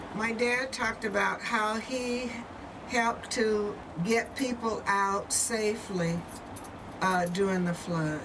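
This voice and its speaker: Through audible room echo and noticeable background noise, a woman with a fairly high pitch and an American accent talks at a very slow pace with ordinary pitch variation. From US South (Louisiana), then Portland, Oregon from age 12. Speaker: grandmother sharing family history. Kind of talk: documentary interview.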